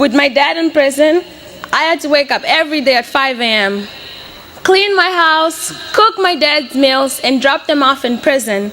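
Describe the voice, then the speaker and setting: A woman with a Portuguese accent speaks in a raised, projected voice at a high pitch. Her intonation is lively, her pace moderate, and there is noticeable background noise. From Mozambique. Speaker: college graduate. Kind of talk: graduation speech.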